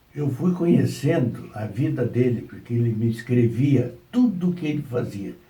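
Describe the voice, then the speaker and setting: This man has a dark, mellow tone and sounds somewhat breathy. His intonation is lively. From southern Brazil, Rio Grande do Sul. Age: 80s+. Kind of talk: interview answer. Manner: slow, hesitant.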